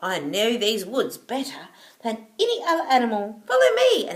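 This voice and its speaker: A woman's put-on character voice, high in pitch. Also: moderate pace. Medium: read story. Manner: hooting.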